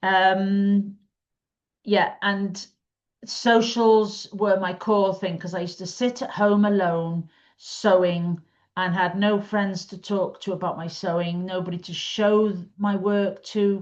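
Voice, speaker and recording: A woman speaks very slowly at medium pitch in a monotone, flat delivery, her loudness swinging widely against a quiet background. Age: 60s. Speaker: quilting teacher and community founder. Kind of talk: casual talk to camera. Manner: chatty, with frequent ums.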